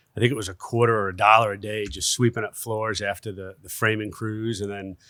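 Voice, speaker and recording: In a very clean recording with a silent background, a man with a northern US accent speaks in a bright, sharp tone at fairly low pitch, his intonation monotone and flat and his loudness swinging widely. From US Northeast, Westchester New York. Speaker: construction executive. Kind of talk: podcast interview. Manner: hesitant, many fillers.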